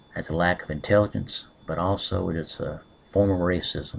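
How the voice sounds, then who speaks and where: Very deep, low male voice with a Southern US accent and monotone, flat intonation. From US South. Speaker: political commentator. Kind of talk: webcam monologue. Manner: hesitant, many fillers.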